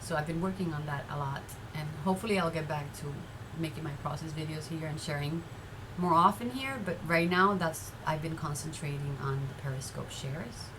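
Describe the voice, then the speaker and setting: Speaking at a fairly quick pace with a Spanish accent, a woman with a very deep, low pitch and ordinary pitch variation comes through noticeable background noise and audible room echo. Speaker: vlogger and artist. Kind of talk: casual vlog chat. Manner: halting, repeats words.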